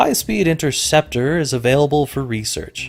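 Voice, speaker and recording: A plain, everyday voice from a man with an American accent, lively in intonation at a moderate pace, on a very clean recording with a silent background. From Colorado. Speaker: gaming YouTuber. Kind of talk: let's play commentary. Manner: casual, with frequent fillers.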